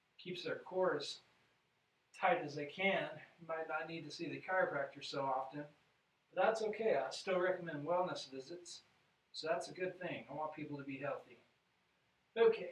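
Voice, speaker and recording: Speaking at a moderate pace with long, frequent pauses, a man has a high pitch and ordinary pitch variation. His loudness swings widely, and audible room echo is present. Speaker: chiropractor. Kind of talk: exercise tutorial. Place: office. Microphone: camera far.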